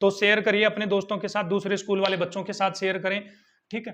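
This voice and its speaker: Here a man speaks in a high pitch. His tone is bright and sharp. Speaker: school science teacher. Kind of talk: lecture. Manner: repetitive teacher questioning style.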